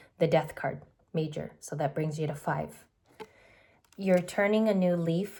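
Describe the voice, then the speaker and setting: Her voice is fairly low, somewhat breathy, and dark and mellow in tone. The woman keeps a fairly even intonation. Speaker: tarot reader. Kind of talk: tarot reading. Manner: fast.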